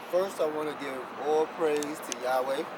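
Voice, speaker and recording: With an American accent, a man talks in a fairly high pitch and flat monotone over noticeable background noise. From New York City (Bronx). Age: 40s. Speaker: homeless man, Hebrew Israelite priest. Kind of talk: interview answer. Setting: outdoors.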